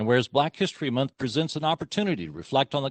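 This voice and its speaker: Against a quiet background, a man with vocal fry and a medium pitch talks at a very fast pace in a dry, close sound with no echo. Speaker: county commissioner. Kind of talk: public meeting remarks; reading aloud a resolution. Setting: county commissioners court meeting.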